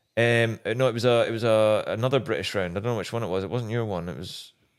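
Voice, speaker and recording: A man with a Scottish accent, talking at a very fast pace. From Scotland. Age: 30s. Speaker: former motocross racer. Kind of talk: casual chat.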